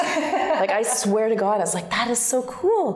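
This is a woman speaking. Noticeable background noise is present. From Calgary, Alberta, Canada. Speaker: actress. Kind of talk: interview answer. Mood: warm, laughing, storytelling. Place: home room.

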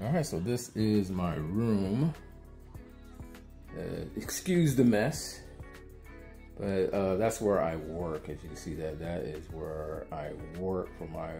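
Faint music plays in the background as a man speaks at a very deep, low pitch and a very slow pace, with ordinary pitch variation. His loudness swings widely, and he leaves long, frequent pauses. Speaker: gaming content creator. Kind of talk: casual vlog chat. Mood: relaxed, self-deprecating. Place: home room. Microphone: phone near.

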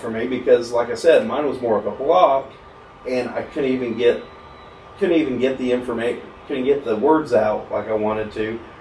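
At a moderate pace, a man talks amid audible room echo and light background noise. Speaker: podcast guest. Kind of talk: interview answer. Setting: studio. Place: studio.

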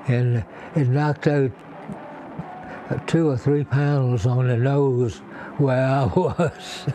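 A man at medium pitch speaks very slowly, with long, frequent pauses and fairly even intonation. The sound is dry with no echo and very even loudness, over light background noise. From US South. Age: 80s+. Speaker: war veteran. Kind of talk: interview; interview answer. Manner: halting. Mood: warm, grateful. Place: home room.

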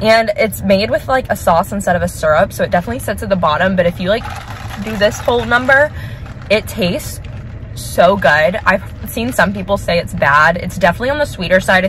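Dry sound with no echo, light background noise, and a fairly quick pace. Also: woman. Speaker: vlogger. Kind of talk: casual vlog chat. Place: car. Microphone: phone near.

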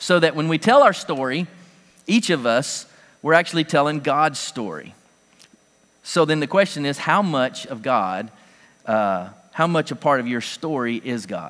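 With big swings in loudness, a man talks at a moderate pace, pausing long and often. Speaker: pastor. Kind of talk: sermon. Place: church.

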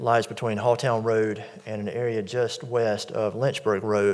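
A man talks, and the background is quiet. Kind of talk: formal briefing to a board. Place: hall. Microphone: podium.

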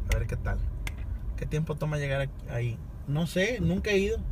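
Despite noticeable background noise, the sound is dry with no echo as a man speaks at a moderate pace. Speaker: livestreamer driving. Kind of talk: casual livestream chat. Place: car. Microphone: phone near.

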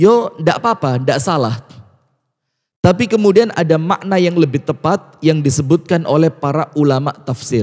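A man speaks with a fairly high pitch. His intonation is lively. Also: moderate pace, quiet background. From Batu, Malang, East Java. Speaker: Islamic preacher. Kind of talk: religious lecture. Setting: mosque with live audience, broadcast on TV and radio. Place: church. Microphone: handheld.

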